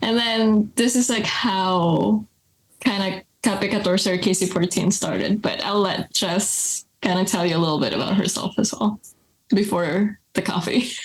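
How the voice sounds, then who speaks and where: Somewhat breathy, a woman speaks at a fairly slow pace in a medium pitch, with fairly even intonation and very even loudness. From Philippines. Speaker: coffee business co-owner. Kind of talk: podcast interview. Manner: casual, filler-heavy.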